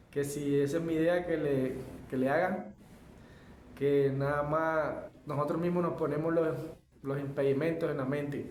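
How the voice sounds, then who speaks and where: Amid audible room echo, a man speaks at a fairly high pitch and a fairly slow pace. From Colombia, Caribbean coast (Santa Marta). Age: 20s. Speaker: aluminium fabricator and barber. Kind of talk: personal life story monologue. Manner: halting, many fillers and self-corrections.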